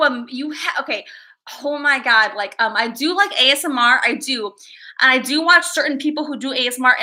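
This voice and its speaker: A woman's raised, projected voice with a bright, sharp tone, lively intonation and moderate pace. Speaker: streamer. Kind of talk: casual, chatty. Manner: loud.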